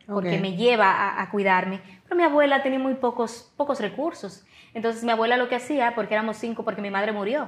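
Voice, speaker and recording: A woman talks very fast with ordinary pitch variation. Her pitch sits fairly high. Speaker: radio broadcaster and TV personality. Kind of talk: interview answer. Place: studio.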